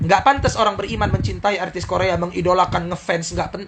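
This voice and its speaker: A man with a Medan accent speaks at a fairly quick pace in a high voice with ordinary pitch variation, over noticeable background noise. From Medan, Indonesia. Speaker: Islamic preacher. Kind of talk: live-stream Q&A answering viewer questions. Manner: stern, harsh, blunt.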